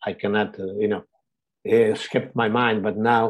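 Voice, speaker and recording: This man talks at a medium pitch. His intonation is monotone and flat. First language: Portuguese. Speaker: director of a community organization. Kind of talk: webinar presentation. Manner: halting, many fillers.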